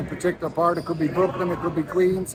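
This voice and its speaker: A man speaks at a high pitch in an Irish accent. There is noticeable background noise. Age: 60s. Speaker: sports association president. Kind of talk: interview.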